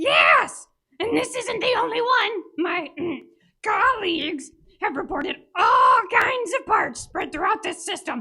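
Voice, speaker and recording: A put-on character voice talks at a fairly slow pace in an extremely high pitch. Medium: audio drama. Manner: wheedling.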